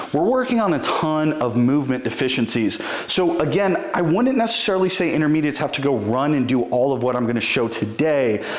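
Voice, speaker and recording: There's audible room echo as a man talks at a fairly quick pace with hardly any pauses. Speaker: strength coach. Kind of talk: tutorial. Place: studio.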